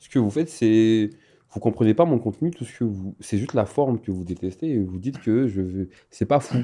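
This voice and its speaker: A man with an animated tone, medium pitch, moderate pace, lively intonation and big swings in loudness. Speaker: content creator. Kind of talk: interview.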